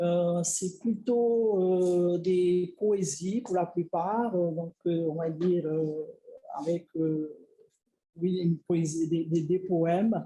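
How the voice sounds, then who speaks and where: In a Tahitian accent, a woman speaks at a very slow pace with a fairly low pitch and fairly even intonation. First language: Tahitian (speaking French). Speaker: researcher. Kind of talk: lecture. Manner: halting, many filler words.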